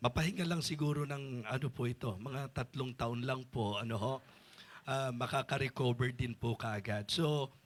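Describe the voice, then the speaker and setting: The recording is very clean, with a silent background. A man with a medium pitch and ordinary pitch variation sounds somewhat breathy. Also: moderate pace. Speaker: bishop and preacher. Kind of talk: sermon.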